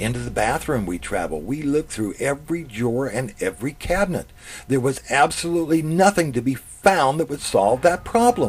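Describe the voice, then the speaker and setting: A man with an American accent, medium pitch and very wide pitch swings, at a fairly quick pace over music in the background. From US South. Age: 60s. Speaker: author reading his own story. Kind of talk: reading aloud.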